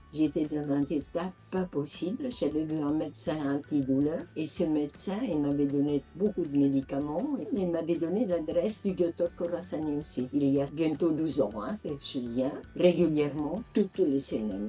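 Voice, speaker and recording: A woman speaks at a fairly slow pace with a very deep, low pitch and hardly any pauses. Music plays in the background. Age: 80s+. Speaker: patient giving a testimonial. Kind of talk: interview answer.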